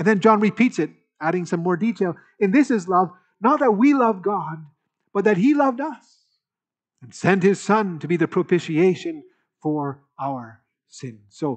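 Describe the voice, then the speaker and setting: A man speaks at a moderate pace with big swings in loudness. Long, frequent pauses break up his speech against a quiet background. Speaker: preacher. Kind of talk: sermon. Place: church.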